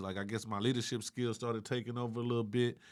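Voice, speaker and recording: A man's relaxed tone. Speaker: comedian and rapper. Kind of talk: casual interview. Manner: relaxed slang-heavy speech.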